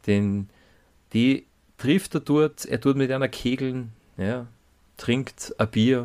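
Very slow speech from a man at medium pitch, with long, frequent pauses and ordinary pitch variation, in a very clean recording with a silent background. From Salzburg, Austria. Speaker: podcast co-host. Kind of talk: casual chat. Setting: studio.

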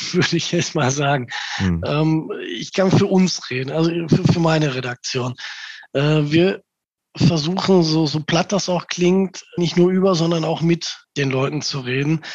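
At a fairly slow pace, a man speaks in a fairly high pitch with ordinary pitch variation and an ordinary speaking voice. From Gelsenkirchen, Ruhr area, Germany. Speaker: local newspaper editor. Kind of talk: interview.

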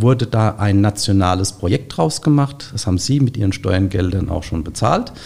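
Noticeable background noise under lively, varied intonation. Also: man. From Rheinhessen, Germany. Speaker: grapevine nursery owner. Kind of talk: interview. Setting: studio.

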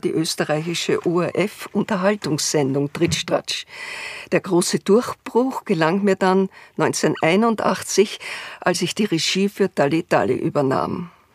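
At a very slow pace, a woman speaks with a medium pitch and ordinary pitch variation, the sound dry and close with no echo. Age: 80s+. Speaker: retired TV director. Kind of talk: interview, reminiscing.

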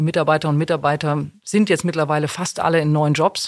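A woman talks at a fairly quick pace in an energetic tone. Her pitch is fairly low. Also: very clean recording, silent background. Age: 50s. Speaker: corporate HR executive. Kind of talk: interview.

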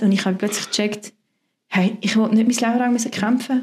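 Here a woman talks. Her delivery stays monotone, with flat intonation. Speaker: pastor. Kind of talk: interview testimony.

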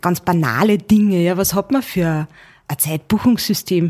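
A woman with an ordinary speaking voice talks at a moderate pace in a medium pitch, with ordinary pitch variation. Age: 30s. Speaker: managing director. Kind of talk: interview.

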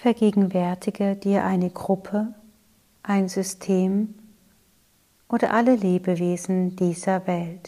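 Very slowly, with long and frequent pauses, a woman speaks at a medium pitch in a calm, soothing way. Her tone is dark and mellow, and her intonation is flat and monotone. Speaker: yoga teacher and meditation guide. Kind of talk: guided meditation. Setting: podcast recording. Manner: slow, calm, soothing, with long pauses between repeated phrases.

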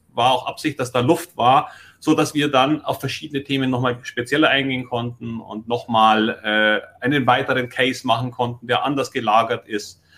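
A man talks at a moderate pace with hardly any pauses. His pitch is medium and his intonation fairly even. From Munich, Bavaria. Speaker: stock investing podcaster and mentor. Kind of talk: casual conversation, mentoring session.

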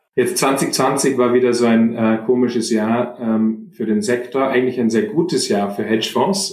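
At a moderate pace and with hardly any pauses, a man talks at a medium pitch with ordinary pitch variation. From Germany, Munich. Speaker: fund manager. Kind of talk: interview. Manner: halting, many repetitions and fillers.

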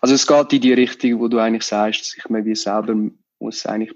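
Very fast and monotone, a man speaks at a medium pitch. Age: 20s. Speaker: magician. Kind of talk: interview.

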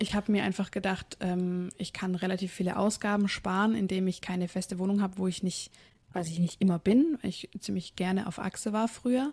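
Somewhat breathy, a woman talks at a fairly quick pace and medium pitch with fairly even intonation. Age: 20s. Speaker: physiotherapist and running coach. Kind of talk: interview.

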